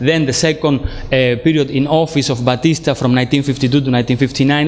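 In a Spanish accent, a man speaks at a moderate pace. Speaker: philosophy lecturer. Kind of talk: lecture. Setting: lecture room with small audience. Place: hall.

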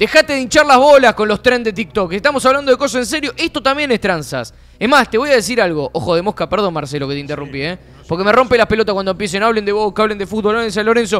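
A man speaks at a very fast pace in a high voice. His pitch swings very widely. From Argentina. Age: 20s. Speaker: streaming show host. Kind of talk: casual chat. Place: studio. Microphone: studio mic.

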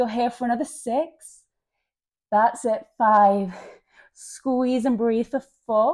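A dark, mellow tone at a very slow pace, with ordinary pitch variation and a quiet background. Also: woman. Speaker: yoga instructor. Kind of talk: workout instruction cues.

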